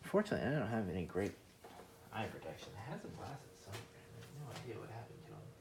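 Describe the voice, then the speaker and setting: There is audible room echo as a man speaks at a very fast pace. His pitch sits in the medium range. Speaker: shoemaking video maker. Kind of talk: casual tutorial. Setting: garage workshop. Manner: rambling, casual. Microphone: voice muffled by dust mask.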